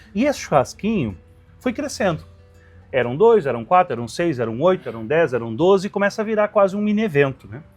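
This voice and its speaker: A man's high, fairly quick voice with very wide pitch swings over music in the background. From Rio Grande do Sul, Brazil. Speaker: restaurant owner, barbecue cook. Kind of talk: interview answer.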